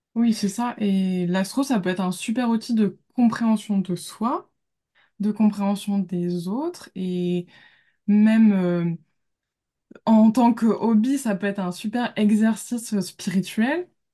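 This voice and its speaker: A woman speaks very slowly in a somewhat breathy voice. Her tone is dark and mellow, with ordinary pitch variation. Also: medium pitch for a woman. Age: 20s. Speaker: graphic designer and amateur astrologer. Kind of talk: casual interview.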